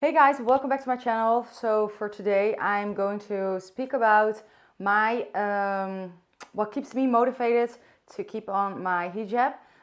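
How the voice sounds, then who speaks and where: This woman has a fairly high pitch and a Dutch accent, with ordinary pitch variation. The recording is very clean, with a silent background. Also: fairly slow pace. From Netherlands. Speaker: vlogger. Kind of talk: casual vlog talk to camera. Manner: unscripted, hesitant at times.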